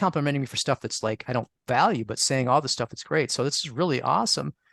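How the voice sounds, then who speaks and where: An ordinary speaking voice from a man, fairly high in pitch with lively intonation, dry and close with no echo, against a quiet background. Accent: American. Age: 60s. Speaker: astrologer and author on astrological magic. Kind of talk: interview. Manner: conversational with many fillers and restarts.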